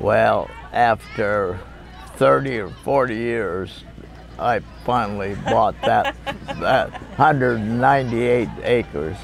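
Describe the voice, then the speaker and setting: A man with a Pacific Northwest accent speaks at a very slow pace, with long, frequent pauses. Crowd noise fills the background. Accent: rural Pacific Northwest American. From Washington State, Lewis County. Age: 90s. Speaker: retired logger. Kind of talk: oral history interview. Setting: family reunion. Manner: halting, many fillers.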